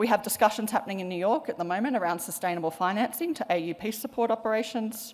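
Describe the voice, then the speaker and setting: Talking at a very fast pace with hardly any pauses, a woman with an Australian accent uses a fairly high pitch and ordinary pitch variation. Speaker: panel moderator, policy researcher; panel moderator. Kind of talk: panel moderation. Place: hall. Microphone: podium.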